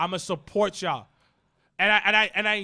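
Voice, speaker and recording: A man speaks in a raised, projected voice with a bright, sharp tone and fairly even intonation. The recording is very clean, with a silent background. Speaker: wrestling podcast co-host. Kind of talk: casual chat. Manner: mumbling.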